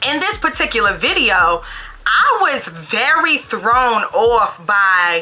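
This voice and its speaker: With music in the background, a woman in a New York accent speaks at a very slow pace, her fairly high pitch moving in very wide swings. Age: 30s. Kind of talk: casual talk to camera.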